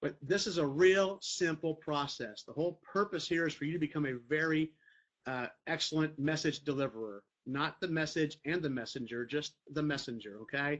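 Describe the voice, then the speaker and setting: A man speaks at a fairly high pitch. His pitch varies in an ordinary way. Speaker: network marketing team leader. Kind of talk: training talk to team. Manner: fast; casual, conversational.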